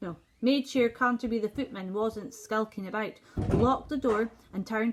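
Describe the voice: Reading aloud, plainly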